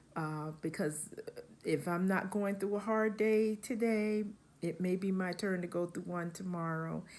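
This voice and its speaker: A woman with an unremarkable speaking voice talks at a fairly slow pace, using a fairly low pitch and fairly even intonation. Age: 60s. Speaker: crochet vlogger. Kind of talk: casual vlog talk to camera. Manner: relaxed, with many fillers.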